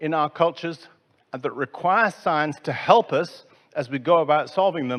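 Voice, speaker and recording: Over a quiet background, a man with an English accent speaks at a moderate pace. His pitch is high. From England. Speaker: conference speaker on science museums. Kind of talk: conference talk.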